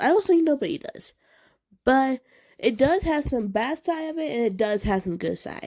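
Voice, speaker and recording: A high-pitched woman's voice with a dark, mellow tone, very wide pitch swings and a moderate pace, in a very clean recording with a silent background. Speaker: deaf person with one hearing aid. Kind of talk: casual talk to camera. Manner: stuttering.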